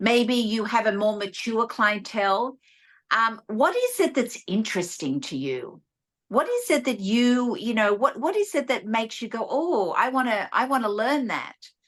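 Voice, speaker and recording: A woman's fairly high voice in an Australian accent. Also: lively intonation, moderate pace, quiet background. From Australia (rural New South Wales, near Sydney). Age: 60s. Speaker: esthetician and beauty educator. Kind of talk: interview advice.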